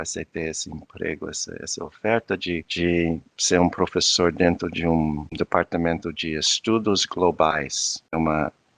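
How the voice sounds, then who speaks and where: A man with a non-native accent talks at a fairly slow pace in a very deep, low pitch, his intonation fairly even and hardly any pauses, with a dry, close sound, no echo and a quiet background. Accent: foreign accent in Portuguese. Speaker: anthropologist and professor. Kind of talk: interview conversation. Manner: halting, many fillers and restarts.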